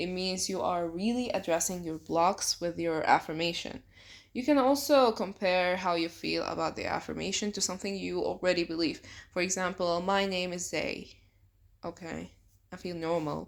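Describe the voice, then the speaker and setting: A woman with a non-native accent speaks at a medium pitch and moderate pace, with ordinary pitch variation, on a very clean recording with a silent background. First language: not English. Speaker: self-help youtuber. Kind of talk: tutorial. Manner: casual.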